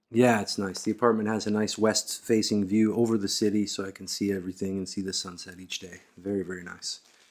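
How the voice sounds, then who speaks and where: A man with an American accent and fairly low pitch, talking at a very fast pace with hardly any pauses, monotone, flat intonation and big swings in loudness. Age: 40s. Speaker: podcast host. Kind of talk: interview conversation.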